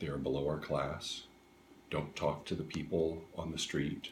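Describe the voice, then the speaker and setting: Somewhat breathy delivery at a moderate pace in a monotone, flat intonation. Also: man. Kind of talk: interview answer. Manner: hesitant, casual.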